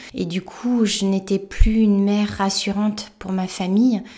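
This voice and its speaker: Monotone and flat, a woman's medium-pitched voice carries a dark, mellow tone. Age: 40s. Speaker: podcaster, animal communicator and shamanic practitioner. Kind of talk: personal monologue. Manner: halting, with frequent hesitations.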